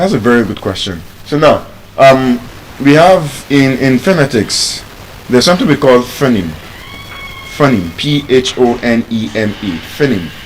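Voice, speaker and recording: Lively intonation marks this speaker with a Nigerian accent, moving at a moderate pace. Long pauses come often, and background noise is noticeable. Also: man, medium pitch for a man. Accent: natural African (Nigerian). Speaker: speech and pronunciation coach. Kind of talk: lecture. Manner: animated.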